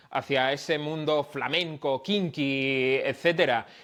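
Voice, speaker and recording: A man's fairly high, bright, sharp voice with fairly even intonation over a quiet background. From Dominican Republic. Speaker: music journalist. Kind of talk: podcast interview answer.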